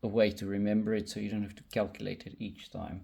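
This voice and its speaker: A man's voice is dark and mellow, pitched fairly low. Vocal fry runs through it. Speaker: electronics hobbyist tutorial creator. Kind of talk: tutorial. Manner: slow, deliberate pace; hesitant, many fillers.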